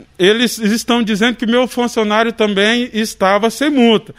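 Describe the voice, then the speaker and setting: A man's high-pitched voice carries fairly even intonation. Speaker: motorcycle mechanic, shop owner. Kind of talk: interview testimony. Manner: emphatic, repeats entendeu.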